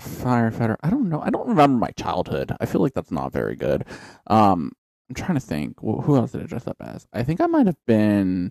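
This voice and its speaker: A man speaks at a fairly quick pace with big swings in loudness, in a dry, close sound with no echo. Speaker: podcast co-host. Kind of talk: casual chat. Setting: home studio. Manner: joking, profane.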